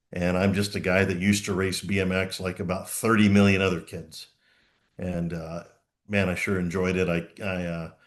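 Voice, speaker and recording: Over a quiet background, a man with an American accent speaks at a moderate pace. His very deep, low voice stays monotone and flat. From Oklahoma. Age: 60s. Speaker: former BMX racer and track operator. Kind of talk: podcast interview.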